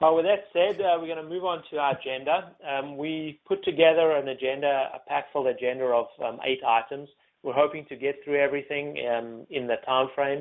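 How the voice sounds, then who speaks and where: Speaking with a South African accent, a man keeps a fairly quick pace with hardly any pauses. His pitch is fairly high, with ordinary variation. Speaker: information security executive and panel moderator. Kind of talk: webinar panel moderation. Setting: webinar. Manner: hesitant with many fillers.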